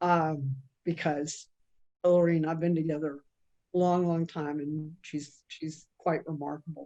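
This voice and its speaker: This woman's tone is dark and mellow. She speaks at a fairly slow pace. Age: 70s. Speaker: ballroom dancer and exhibit subject. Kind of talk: panel discussion. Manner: halting, many fillers.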